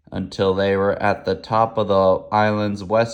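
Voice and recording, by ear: Someone is reading aloud in a natural voice here.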